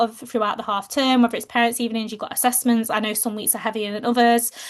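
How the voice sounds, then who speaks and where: A woman with a fairly high pitch and an English accent. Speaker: fitness coach for teachers. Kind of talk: webinar presentation. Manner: fast.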